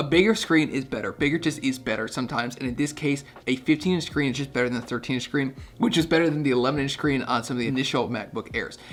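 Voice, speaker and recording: Talking very fast, a man uses a fairly high, energetic voice. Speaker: tech reviewer. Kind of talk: product review to camera. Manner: casual, energetic.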